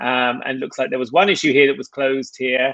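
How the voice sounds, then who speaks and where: A man speaks at a medium pitch with an English accent. His intonation stays fairly even. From England. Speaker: tech product manager. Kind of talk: live Q&A session. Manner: hesitant, many fillers.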